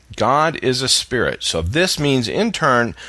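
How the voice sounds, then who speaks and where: A man speaks with vocal fry. His tone is bright and sharp. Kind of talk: sermon-style teaching to camera. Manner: conversational, unscripted, explaining point by point.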